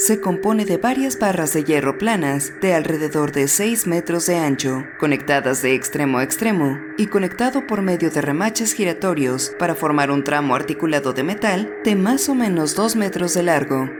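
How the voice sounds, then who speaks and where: Against noticeable background noise, a woman with a very deep, low pitch talks at a moderate pace, her intonation lively and her loudness very even. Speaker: horror and SCP narrator. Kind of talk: SCP file narration. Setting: older home recording.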